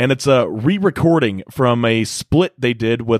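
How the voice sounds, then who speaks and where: A man with a normal speaking voice, medium in pitch with ordinary pitch variation, at a moderate pace, in a dry, close sound with no echo. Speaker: guest music reviewer. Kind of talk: casual banter, music review. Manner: joking, laughs often.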